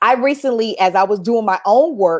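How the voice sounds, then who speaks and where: The pace is moderate, with lively intonation. The recording is very clean, with a silent background. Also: woman. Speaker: business coach, founder. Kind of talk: interview.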